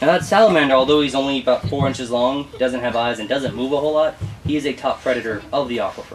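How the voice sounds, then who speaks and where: A man with an American accent talks at a very fast pace. His pitch varies normally, over light background noise. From Houston, Texas. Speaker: tour guide. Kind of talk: guided tour narration. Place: boat.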